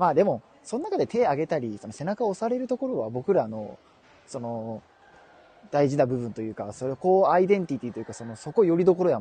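With a Kansai accent, a man talks at a very fast pace and a fairly high pitch, using very wide pitch swings and big swings in loudness. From Kansai, Japan. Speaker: podcast co-host. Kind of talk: casual comedic chat. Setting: live stream. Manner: animated, laughing often.

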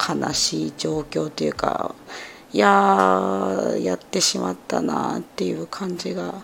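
Noticeable noise fills the background. The speaker talks very slowly. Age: 30s. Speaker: podcaster, pharmacist by training. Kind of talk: casual self-introduction monologue.

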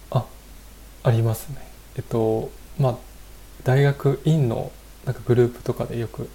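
A man speaks at medium pitch with fairly even intonation. His tone is dark and mellow, somewhat breathy. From Japan, Fukushima. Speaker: software engineer. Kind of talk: casual interview. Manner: polite, hesitant with fillers.

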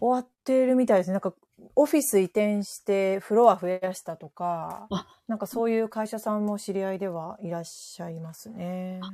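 At a moderate pace, a woman with a medium-pitched, dark, mellow tone speaks with ordinary pitch variation and big swings in loudness on a very clean recording with a silent background. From western Japan, Kansai area, rural. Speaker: office worker on remote work. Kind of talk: casual chat.

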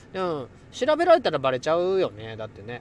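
Against a quiet background, a man with a slight Kansai accent talks in an animated tone at a moderate pace with lively intonation. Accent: mild Kansai dialect. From Kansai, Kobe (Hyogo). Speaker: livestream host, schoolteacher. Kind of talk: casual live stream chat with listeners. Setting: in a car. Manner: animated, frequent laughter.

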